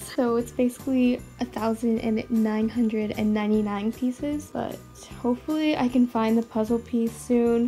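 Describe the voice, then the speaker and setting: Faint music plays behind a woman speaking at a fairly high pitch. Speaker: vlogger. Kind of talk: casual vlog narration to camera. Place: home room. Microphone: phone near.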